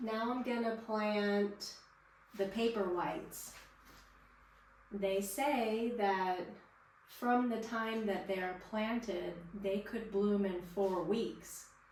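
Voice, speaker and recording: Long, frequent pauses mark a woman's very slow, medium-pitched speech, with noticeable background noise and audible room echo. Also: fairly even intonation. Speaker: gardening vlogger. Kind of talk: tutorial. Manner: loud; casual. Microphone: poor microphone.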